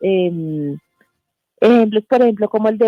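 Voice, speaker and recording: A woman at a moderate pace. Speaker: journalist and press freedom foundation board member. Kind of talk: radio interview. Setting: radio studio remote interview.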